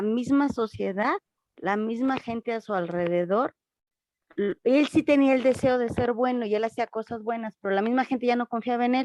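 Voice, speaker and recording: A woman's voice at a moderate pace, dry and close with no echo, with ordinary pitch variation. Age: 60s. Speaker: congregation member. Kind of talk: question in class. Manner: hesitant.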